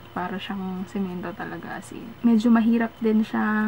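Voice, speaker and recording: A soft-spoken voice with fairly even intonation comes through over noticeable background noise. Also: woman. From Philippines. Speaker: beauty vlogger. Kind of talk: product review. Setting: at home at night.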